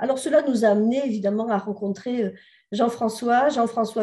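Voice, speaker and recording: A woman's somewhat breathy voice sits fairly high in pitch, with a dark, mellow tone. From southern France. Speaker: sociologist and researcher. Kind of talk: conference presentation. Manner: hesitant, many fillers.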